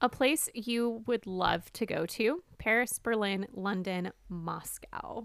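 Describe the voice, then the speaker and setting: With an American accent, a woman speaks very slowly at a fairly high pitch, using ordinary pitch variation and hardly any pauses. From US South. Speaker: podcast host. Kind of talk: casual chat.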